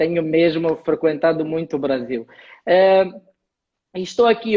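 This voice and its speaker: A man with an Angolan accent speaks at a moderate pace in a high voice. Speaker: HR lecturer and live stream host. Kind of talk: live stream conversation.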